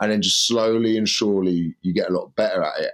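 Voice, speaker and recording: In a British accent, a man talks at a fairly quick pace on a very clean recording with a silent background. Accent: regional British. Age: 20s. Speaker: comedian. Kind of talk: casual chat.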